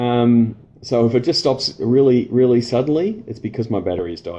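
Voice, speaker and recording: At a fairly quick pace, the voice carries a dark, mellow tone in an Australian accent. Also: man, medium pitch for a man, ordinary pitch variation. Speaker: sports marketing consultant. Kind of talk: live stream Q&A. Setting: Facebook live stream. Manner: halting, many fillers.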